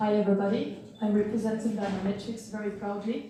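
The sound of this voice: A woman's dark, mellow voice at a medium pitch and fairly quick pace, with strong room echo.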